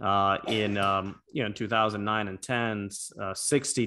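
In an ordinary speaking voice, a man with an American accent talks at a fairly slow pace and a fairly low pitch. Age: 40s. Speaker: former congressman. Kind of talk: casual chat.

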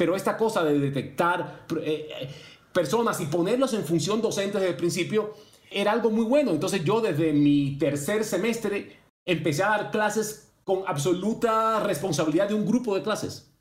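Over noticeable background noise and audible room echo, a man talks at a moderate pace in a high pitch with ordinary pitch variation. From Cuba. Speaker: law professor. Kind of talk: interview.

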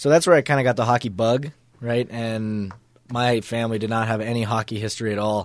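In a quiet background, a man uses an ordinary speaking voice at medium pitch. He talks at a fairly quick pace with fairly even intonation. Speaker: college hockey player. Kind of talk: interview. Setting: studio.

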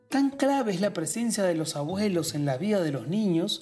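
A man keeps a moderate pace with music in the background. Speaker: podcast host and writer. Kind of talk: scripted narration.

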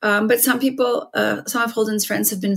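With a Canadian accent, a woman talks in a somewhat breathy voice with ordinary pitch variation. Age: 50s. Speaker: writer and former radio broadcaster. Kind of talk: interview about grief and overdose crisis.

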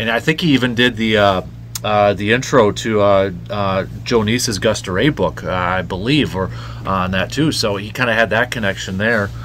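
Against noticeable background noise, a man with an American accent talks at a moderate pace in a fairly low pitch with ordinary pitch variation. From Medford, northern Wisconsin, US Midwest. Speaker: sports radio host. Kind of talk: casual interview chat.

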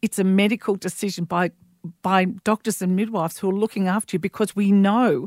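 With an Australian accent, a woman of medium pitch speaks at a fairly quick pace in a dry, close sound with no echo. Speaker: midwife. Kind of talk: casual chat.

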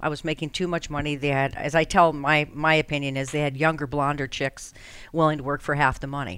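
Her voice is very deep and low for a woman, at a fairly quick pace. The recording is very clean, with a silent background. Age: 50s. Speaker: radio host. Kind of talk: casual chat. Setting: studio.

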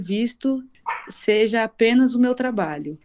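This is a woman's voice. Her pitch is fairly high. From Brazil, interior of São Paulo state. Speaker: singer. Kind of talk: casual chat.

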